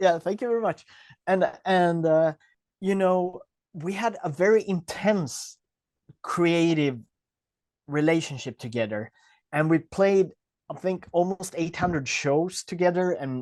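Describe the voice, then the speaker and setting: A man speaks at a fairly slow pace in a high pitch with ordinary pitch variation and long, frequent pauses. The sound is dry and close with no echo against a quiet background. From rural Sweden. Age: 40s. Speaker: punk musician. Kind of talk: interview. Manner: halting, repeats words.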